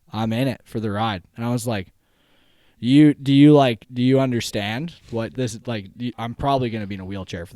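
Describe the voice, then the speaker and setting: A man with a western Canadian accent at a fairly quick pace, on a very clean recording with a silent background. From western Canada, Langley BC. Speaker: spinal injury survivor. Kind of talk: casual chat. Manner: animated.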